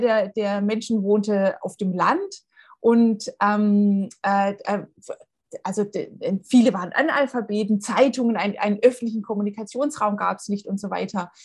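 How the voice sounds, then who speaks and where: A woman's somewhat breathy, fairly high voice at a fairly slow pace, with ordinary pitch variation. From Baden-Württemberg, near Tübingen. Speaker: history professor. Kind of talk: interview. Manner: hesitant with frequent fillers.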